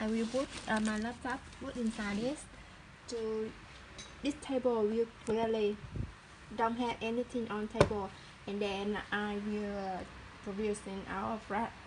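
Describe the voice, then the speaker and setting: A woman with a Vietnamese accent speaks at a fairly slow pace and a fairly high pitch, her intonation monotone and flat, with long, frequent pauses and noticeable background noise. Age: 30s. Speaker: small business owner. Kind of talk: casual talk to camera, workshop tour. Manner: hesitant, halting non-native English.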